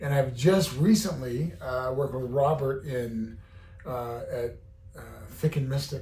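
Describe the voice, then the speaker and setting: A man with a fairly high pitch and a dark, mellow tone sounds somewhat breathy. Room echo is audible, and his pitch varies in an ordinary way. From Southern Utah. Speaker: rancher and slaughterhouse owner. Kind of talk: casual chat. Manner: halting.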